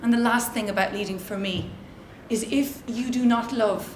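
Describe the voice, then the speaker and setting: Through audible room echo and noticeable background noise, a woman with an Irish accent speaks at a fairly slow pace in a fairly high pitch. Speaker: social entrepreneur and conference speaker. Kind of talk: motivational talk. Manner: loud; animated.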